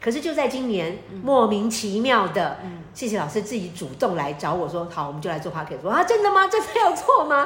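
Amid noticeable background noise and audible room echo, a woman with a fairly high pitch talks at a fairly quick pace, her pitch swinging very widely. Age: 50s. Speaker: astrologer and author. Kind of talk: casual chat.

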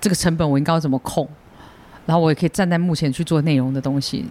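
This man's voice sits high in pitch. Its tone is dark and mellow. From Taiwan. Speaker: stand-up comedian. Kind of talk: casual chat.

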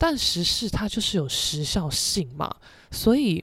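This woman talks at a fairly slow pace with a medium pitch. Her tone is animated, and her pitch swings very widely. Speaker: podcast host and painter. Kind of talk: casual solo monologue.

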